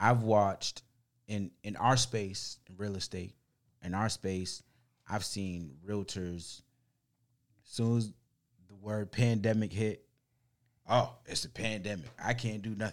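A man with a fairly low pitch speaks at a fairly slow pace, with ordinary pitch variation, big swings in loudness and long, frequent pauses, on a very clean recording with a silent background. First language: not English. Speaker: podcast co-host, real estate professional. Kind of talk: casual chat. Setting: studio.

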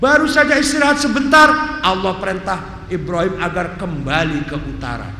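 Very wide pitch swings at a moderate pace, with noticeable background noise and audible room echo. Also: man. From Cirebon, West Java. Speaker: Islamic preacher and professor. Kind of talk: religious lecture. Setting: mosque.

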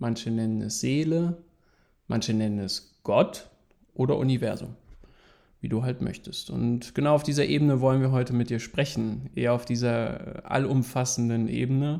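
A man's medium-pitched voice, dark and mellow in tone, at a fairly slow pace with ordinary pitch variation. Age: 30s. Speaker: podcast co-host. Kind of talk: casual chat.

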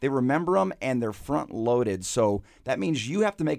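On a very clean recording with a silent background, a man with an American accent uses an unremarkable speaking voice at medium pitch. He talks at a fairly quick pace with lively intonation. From Michigan. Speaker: marketing consultant, former business executive. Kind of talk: radio interview. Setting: studio.

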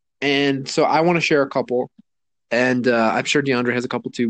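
The voice belongs to a man with a medium pitch. It rises and falls with ordinary variation. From US Southwest, Mexican-American. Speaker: podcast co-host. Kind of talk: casual chat. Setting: remote recording from home.

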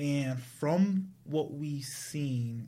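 A man speaks in a somewhat breathy voice with an American accent. There is audible room echo. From US Northeast, Providence, Rhode Island. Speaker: tech entrepreneur. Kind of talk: casual interview chat.

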